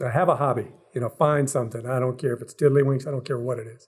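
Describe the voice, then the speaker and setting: The voice is somewhat breathy, with an American accent. Its intonation stays monotone and flat. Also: man. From US Midwest, Cleveland Ohio. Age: 60s. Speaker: military program manager. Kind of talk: podcast interview.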